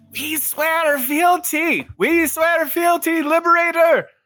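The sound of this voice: A put-on character voice at an extremely high pitch, fairly slow, with music in the background.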